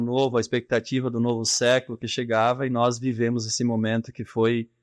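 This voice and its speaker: The sound is dry and close with no echo. Delivery is fairly quick, with monotone, flat intonation. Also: man. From southern Brazil, rural. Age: 40s. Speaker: business leader. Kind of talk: interview.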